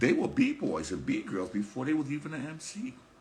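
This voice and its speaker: In a New York accent, a man speaks with lively intonation. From New York, the Bronx. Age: 60s. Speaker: hip hop promoter and podcast host. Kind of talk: casual talk on a livestream. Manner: halting, repeats words.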